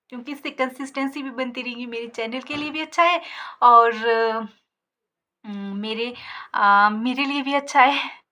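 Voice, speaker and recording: With long, frequent pauses, a woman speaks in a raised, projected voice that is high and bright, sharp in tone, with ordinary pitch variation and big swings in loudness. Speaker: village vlogger. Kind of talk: casual vlog talk to camera. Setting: sitting in her shop. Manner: hesitant fillers.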